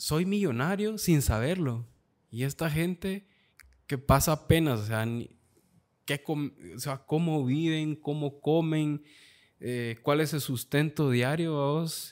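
Against a quiet background, a man with a fairly high pitch and ordinary pitch variation talks at a very slow pace with long, frequent pauses. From Guatemala, Esquipulas; Guatemala. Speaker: photographer; podcast guest. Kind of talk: casual chat. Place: studio. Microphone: studio mic.

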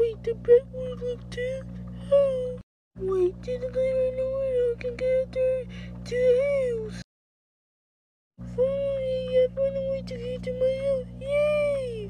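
Set over music in the background, a cartoonish character voice moves at a fairly slow pace with long, frequent pauses. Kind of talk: puppet show character voice. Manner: excited.

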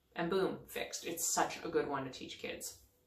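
Recorded with audible room echo, a woman with a fairly low voice speaks at a fairly quick pace with ordinary pitch variation. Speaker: parenting blogger. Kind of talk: tutorial. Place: bathroom. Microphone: phone near.

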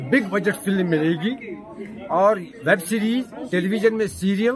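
A man at a fairly slow pace, with crowd noise in the background. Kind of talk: interview answer. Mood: earnest, passionate about theatre. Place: hall. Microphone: handheld.

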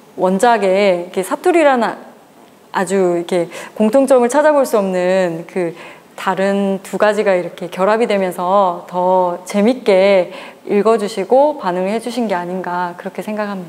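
Her voice sits at a medium pitch for a woman, with ordinary pitch variation and a moderate pace. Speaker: author. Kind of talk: interview answer. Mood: warm, grateful. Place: cafe. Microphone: lapel.

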